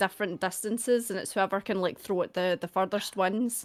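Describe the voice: At a moderate pace, a woman speaks in a medium-pitched voice. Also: fairly even intonation.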